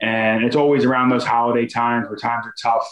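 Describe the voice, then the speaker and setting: A man with an American accent rattles through his lines at a very fast pace. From Philadelphia suburbs, US. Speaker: NFL offensive lineman. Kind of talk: interview.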